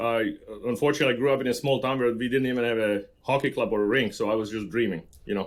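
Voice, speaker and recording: A man with a Slovak accent, medium pitch and a very fast pace. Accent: Slovak accent, kept. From central Slovakia. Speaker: construction professional. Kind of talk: podcast interview. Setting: remote recording with podcast mic kit.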